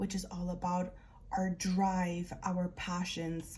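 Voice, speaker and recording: A woman at medium pitch sounds somewhat breathy with a dark, mellow tone. Her monotone, flat delivery moves at a very slow pace. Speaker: tarot and oracle card reader. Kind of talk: spiritual card reading.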